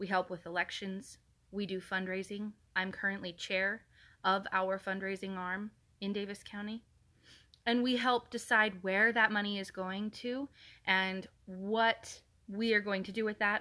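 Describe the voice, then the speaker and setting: A loud woman's voice, bright and sharp in tone, at medium pitch and a fairly slow pace, monotone and flat, with long, frequent pauses against a quiet background. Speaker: political party activist. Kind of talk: political address to camera. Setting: social media video.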